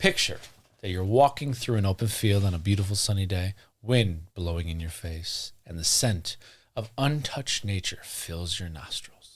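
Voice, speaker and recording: In a very clean recording with a silent background, a somewhat breathy man speaks at a moderate pace in a fairly low pitch with ordinary pitch variation. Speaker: podcast host. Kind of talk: casual chat.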